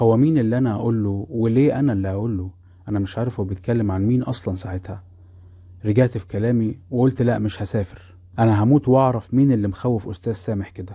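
Fairly quick, somewhat breathy speech in a dark, mellow tone, with an Egyptian accent. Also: man, medium pitch for a man, fairly even intonation, quiet background. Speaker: podcast storyteller. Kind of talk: scripted narration.

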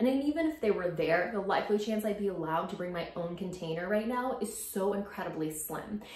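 A woman's medium-pitched voice, fairly quick, with lively intonation, a slightly mellow tone and audible room echo.

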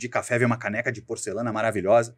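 Talking at a very fast pace, this man has a medium pitch. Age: 40s. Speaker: sales executive. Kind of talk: interview.

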